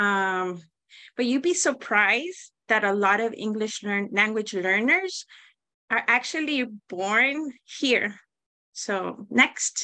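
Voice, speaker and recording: A woman with a Spanish accent, fairly high and bright, sharp in tone, lively in intonation, very slow in pace, against a quiet background. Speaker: teacher. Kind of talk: presentation.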